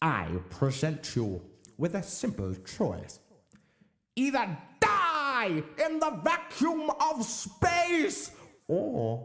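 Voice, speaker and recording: A man speaks in a put-on character voice, pitched high. His pace is very slow, with long, frequent pauses. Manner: impassioned, strident.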